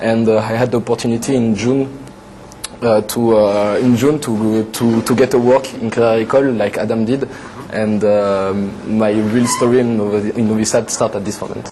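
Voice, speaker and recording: A man with a French accent, medium-pitched and monotone with flat intonation, at a moderate pace over noticeable background noise. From western France, Atlantic coast. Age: 20s. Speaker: TV show guest, French expat. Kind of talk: casual interview chat. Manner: halting, many fillers.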